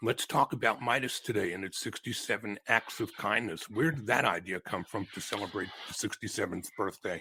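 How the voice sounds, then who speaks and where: A man's voice with hardly any pauses and ordinary pitch variation, dry and close with no echo, over noticeable background noise. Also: fairly low pitch for a man, fairly quick pace. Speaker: podcast host. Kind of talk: interview questions.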